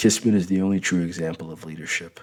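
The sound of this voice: The clip has an unforced reading voice. It is read aloud.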